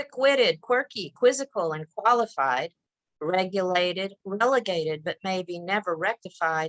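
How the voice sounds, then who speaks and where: With an ordinary speaking voice, a woman talks at a fairly slow pace and uses lively intonation. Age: 60s. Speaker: poet and middle school teacher. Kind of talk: poetry reading. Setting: video call.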